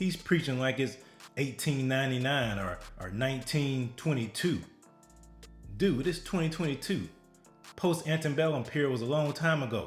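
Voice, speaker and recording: A man with a fairly high pitch and ordinary pitch variation talks at a moderate pace with long, frequent pauses, music playing in the background. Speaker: political and religious commentator. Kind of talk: reaction commentary to camera.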